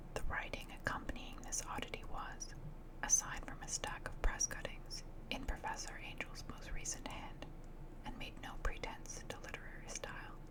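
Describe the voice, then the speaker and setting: A woman whispers at a moderate pace with big swings in loudness, and there is noticeable background noise. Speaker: ASMR artist. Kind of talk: audiobook reading of a horror story. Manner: whispered; soft, relaxing.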